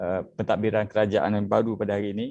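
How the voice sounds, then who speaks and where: In a dry, close sound with no echo, a man speaks at a fairly quick pace with a fairly low pitch and monotone, flat intonation. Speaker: youth politician. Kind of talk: online panel discussion. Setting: Facebook live video call. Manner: hesitant, many fillers.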